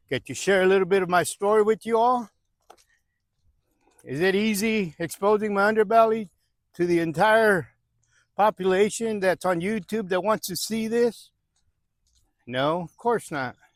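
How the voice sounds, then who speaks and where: A man with a high voice speaks at a moderate pace with ordinary pitch variation. The sound is dry and close with no echo, and his pauses are long and frequent. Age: 60s. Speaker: recovering gambler vlogger. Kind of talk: personal testimony vlog. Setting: outdoors, walking. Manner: casual, conversational.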